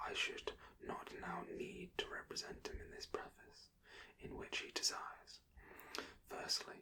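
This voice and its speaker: A man whispers at a fairly slow pace. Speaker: ASMR creator reading a book aloud. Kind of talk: whispered audiobook-style reading. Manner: whispered, slow, soft-spoken.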